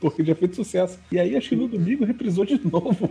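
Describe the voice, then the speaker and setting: A man with a high-pitched voice. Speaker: podcast co-host. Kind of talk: casual chat.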